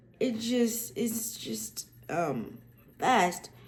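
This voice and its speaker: A woman talks very slowly, and room echo is audible. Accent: American. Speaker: accessibility tech YouTuber. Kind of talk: casual tutorial vlog. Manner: many fillers and restarts.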